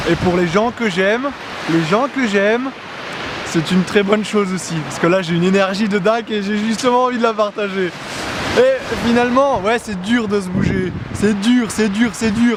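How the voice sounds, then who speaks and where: High-pitched male speech at a moderate speed, pitch varying in an ordinary way, over noticeable background noise. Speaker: motivational vlogger. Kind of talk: motivational monologue. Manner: loud; animated.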